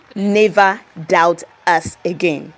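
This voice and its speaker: A woman at medium pitch with ordinary pitch variation, over noticeable background noise. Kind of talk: commentary talk to camera.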